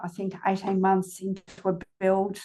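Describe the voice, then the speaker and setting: With an Australian accent, a woman speaks at a medium pitch and a moderate pace. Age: 60s. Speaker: company CEO. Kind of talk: podcast interview. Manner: casual, hesitant with fillers.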